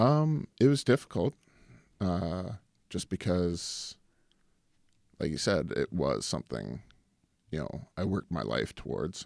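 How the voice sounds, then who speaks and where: In a very clean, silent, dry and close recording with no echo, a man with a Canadian accent speaks at a very deep, low pitch with vocal fry and very wide pitch swings, at a fairly slow pace with long, frequent pauses. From Canada. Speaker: actor and former pro hockey player. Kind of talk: casual interview chat.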